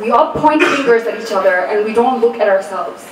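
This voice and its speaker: A woman speaks at a fairly quick pace in a high voice with lively intonation. Noticeable background noise sits behind her. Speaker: spoken word poet. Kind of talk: casual introduction to audience.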